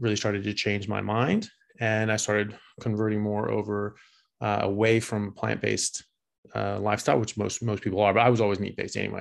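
A man with an American accent talks very fast at a fairly low pitch in a flat monotone over a quiet background. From US West Coast (California, Seattle). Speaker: neurosurgery resident and former rugby player. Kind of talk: interview. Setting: remote call.

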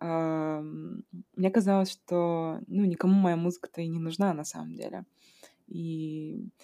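Delivered at a very slow pace, the dark, mellow voice keeps a fairly even intonation while its loudness swings widely. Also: woman, fairly low pitch for a woman. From Kazakhstan. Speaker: podcast host. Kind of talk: casual interview conversation. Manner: hesitant, many fillers.

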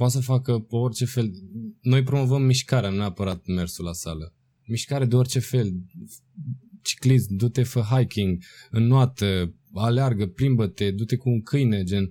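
A man speaks at a moderate pace with a medium pitch, ordinary pitch variation and a dark, mellow tone that is somewhat breathy. The recording is very clean, with a silent background. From Romania, provincial town. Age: 20s. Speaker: dancer and choreographer. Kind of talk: casual interview.

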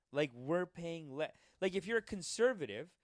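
Lively intonation comes through a dry, close sound with no echo. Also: man. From Indian heritage, Gujarati family. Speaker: podcast co-host. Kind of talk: casual chat. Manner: animated.

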